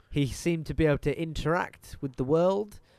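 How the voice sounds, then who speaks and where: A man with a British accent at a moderate pace. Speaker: podcast co-host. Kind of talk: casual chat. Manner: animated.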